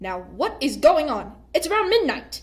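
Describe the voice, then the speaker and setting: A woman puts on a character voice at a high pitch. She moves at a moderate pace with very wide pitch swings. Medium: read story. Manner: dignified, impatient.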